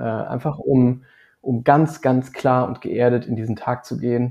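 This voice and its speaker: This man talks at a fairly slow pace with a dark, mellow tone. His medium pitch stays monotone and flat. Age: 30s. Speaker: marketing agency owner. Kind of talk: interview. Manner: halting, many fillers.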